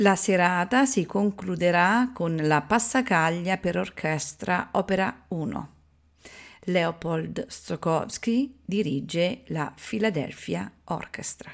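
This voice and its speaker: Over a very clean recording with a silent background, a woman with a fairly low pitch speaks very slowly with lively intonation. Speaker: radio announcer. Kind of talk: radio station announcer reading a program introduction. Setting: radio broadcast. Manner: formal, measured, even and polished.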